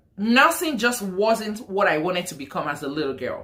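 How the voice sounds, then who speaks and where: A woman with a strong Nigerian accent, bright and sharp in tone, at a moderate pace with very wide pitch swings. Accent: thick Nigerian. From Nigeria, Lagos. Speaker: nurse and vlogger. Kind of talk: casual vlog story time.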